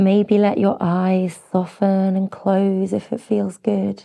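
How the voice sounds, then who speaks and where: A woman speaks very slowly in a British accent. Her tone is dark and mellow, her intonation monotone and flat. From Britain. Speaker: yoga teacher. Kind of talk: guided yoga class instruction. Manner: soft-spoken, slow, gentle.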